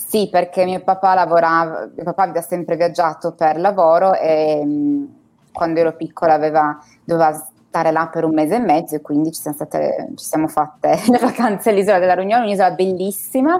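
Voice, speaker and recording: A woman speaks in a normal speaking voice, fairly low in pitch, at a fairly quick pace. Her pitch varies in an ordinary way, while her loudness swings widely. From Turin, northern Italy. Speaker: expat guest. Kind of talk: interview, casual chat.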